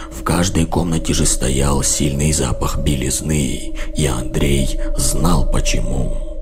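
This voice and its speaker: A put-on character voice moves at a fairly slow pace over loud music in the background. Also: man. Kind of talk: horror narration. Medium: read story. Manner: measured, dark.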